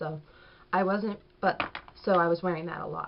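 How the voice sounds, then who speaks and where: A woman with a fairly low voice speaks at a fairly quick pace over noticeable background noise. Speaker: beauty vlogger. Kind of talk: product review. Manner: casual, chatty; fast.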